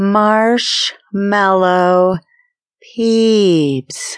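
Drawling along at a medium pitch, a female-sounding voice performs a put-on character voice. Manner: drawled, slow.

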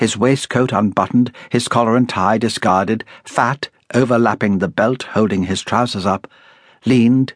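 A natural voice reading aloud

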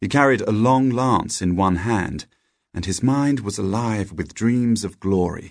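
A man's plain, everyday voice with lively intonation. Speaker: audiobook narrator. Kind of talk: scripted storybook narration, read aloud. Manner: gentle, storytelling cadence with playful character dialogue.

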